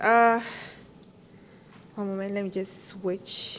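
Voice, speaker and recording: A woman's very slow speech with fairly even intonation. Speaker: conference speaker. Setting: stage.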